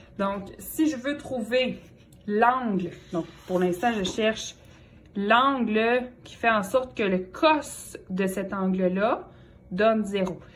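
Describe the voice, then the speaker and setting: Amid audible room echo, a woman with a Quebec accent and a fairly high pitch speaks at a very slow pace, with long, frequent pauses and big swings in loudness. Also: ordinary pitch variation. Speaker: math teacher. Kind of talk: lecture.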